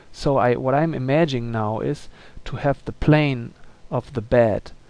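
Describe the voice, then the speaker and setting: A man speaks with a non-native accent. His pace is very slow. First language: not English. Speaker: illustrator. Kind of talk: tutorial. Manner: halting, many fillers.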